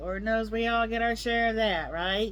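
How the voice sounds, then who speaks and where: Audible room echo surrounds a woman's voice. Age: 60s. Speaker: health tips vlogger. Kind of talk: casual talk to camera.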